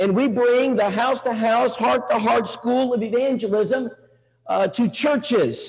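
Against a quiet background, a man speaks at a fairly slow pace with extremely high pitch. His intonation is fairly even. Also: very even loudness. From Texas, Bulverde near San Antonio. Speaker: evangelist. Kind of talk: sermon. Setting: church with audience. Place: church.

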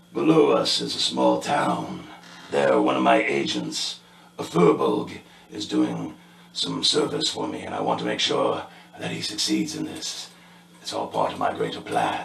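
A man does a put-on character voice, raspy and very deep and low in pitch. Light background noise and a slight echo sit behind him. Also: moderate pace. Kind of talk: in-character narration. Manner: regal, cold, commanding.

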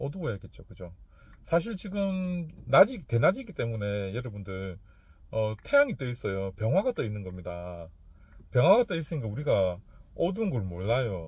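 Over a quiet background, a man speaks in a somewhat breathy voice with very wide pitch swings and big swings in loudness. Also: medium pitch for a man, moderate pace. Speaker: fortune teller. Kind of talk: casual lecture. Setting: in a car.

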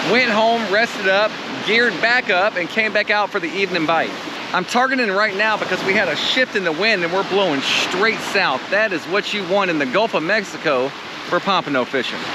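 A man talks at a fairly quick pace with ordinary pitch variation. The sound is dry with no echo, and background noise is loud. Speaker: fishing guide vlogger. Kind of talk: casual vlog chat. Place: beach. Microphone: phone near.

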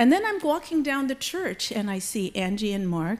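A woman's voice makes very wide swings in pitch. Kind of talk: church announcements. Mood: cheerful, lightly amused. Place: church. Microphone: podium.

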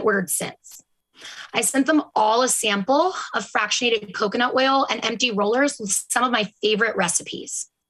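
Pitch varies in an ordinary way, and the background is quiet. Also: woman. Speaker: presenter. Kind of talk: prepared workshop talk. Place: home room.

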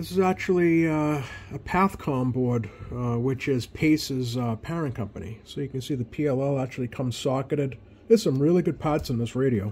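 Somewhat breathy speech at a fairly quick pace. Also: man. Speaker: radio hobbyist. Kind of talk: casual hobby walkthrough. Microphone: phone near.

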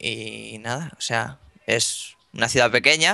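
A man talks with a Spanish accent, his tone bright and sharp with vocal fry. The background is quiet. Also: dry sound with no echo. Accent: Spanish (Spain). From northern Spain (Ponferrada, León); northern Spain. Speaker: gaming youtuber; gaming youtuber interviewee. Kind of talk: interview. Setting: Skype call. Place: home room. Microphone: video call.

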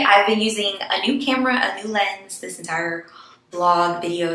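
Light noise and audible room echo surround a woman's voice. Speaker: travel vlogger. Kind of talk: casual vlog chat. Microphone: phone near.

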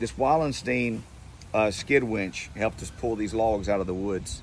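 With some vocal fry, a man talks at a fairly low pitch and a moderate pace with ordinary pitch variation, over light background noise in a dry sound with no echo. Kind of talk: casual vlog chat. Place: farm machine. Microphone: phone near.

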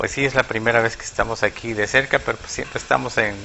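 Over light background noise, a man uses an ordinary speaking voice, fairly low in pitch, with fairly even intonation. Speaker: guest. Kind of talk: interview answer. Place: studio. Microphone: lapel.

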